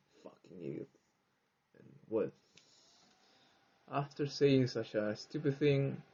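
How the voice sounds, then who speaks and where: A man speaks at a very slow pace with a fairly high pitch and a somewhat breathy quality. His loudness swings widely, his pitch varies in an ordinary way, and he pauses often and at length. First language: Spanish. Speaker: English learner, vlogger. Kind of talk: personal monologue. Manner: halting.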